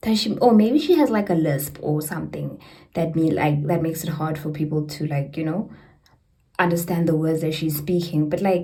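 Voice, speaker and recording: Audible room echo surrounds the voice. Delivery is moderate in pace, and pitch varies in an ordinary way. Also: woman, very deep, low pitch for a woman. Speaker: book vlogger. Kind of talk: casual vlog book review. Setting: bathroom at home.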